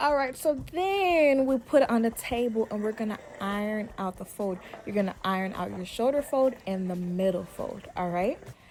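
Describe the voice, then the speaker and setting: A woman with a fairly high pitch speaks with lively intonation against noticeable background noise. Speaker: dressmaker. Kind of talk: tutorial. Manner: fast; casual.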